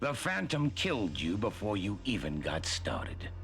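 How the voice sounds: In a put-on character voice, a man speaks at a fairly low pitch with vocal fry. He goes at a fairly slow pace with very wide pitch swings.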